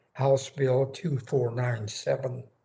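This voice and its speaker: In a somewhat breathy, medium-pitched voice, a man speaks at a very slow pace with monotone, flat intonation. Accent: American. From Northern California. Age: 90s. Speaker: war veteran and retired educator. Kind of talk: congressional testimony. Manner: formal.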